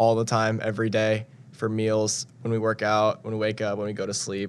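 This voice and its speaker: A medium-pitched man keeps to a moderate pace as he speaks. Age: young. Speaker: national service member. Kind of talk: interview.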